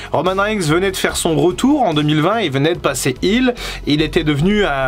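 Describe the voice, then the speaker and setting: A man speaks in a high voice with very wide swings in pitch, and noticeable noise sits in the background. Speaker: wrestling YouTuber. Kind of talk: casual video commentary.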